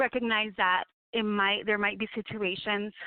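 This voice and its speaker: A woman's fairly high voice in a Spanish accent. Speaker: radio host. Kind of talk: radio talk show monologue. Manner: occasional stumbles over words.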